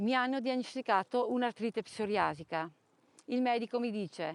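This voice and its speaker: Moderately paced speech from a woman, fairly high in pitch with ordinary variation, dry and close with no echo. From Trentino, northern Italy. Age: 50s. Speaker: person living with chronic illness. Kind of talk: testimony.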